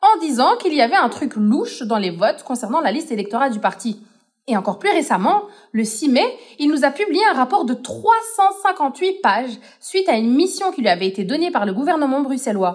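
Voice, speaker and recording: Her voice sits high and swings very widely in pitch. The woman talks at a fairly quick pace. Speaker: podcast co-host. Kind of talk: scripted explainer podcast.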